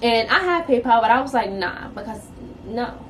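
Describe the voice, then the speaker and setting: A woman's fairly high voice with an American accent, fairly quick pace and lively intonation, over noticeable background noise. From New York City. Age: 20s. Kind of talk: casual story time to camera.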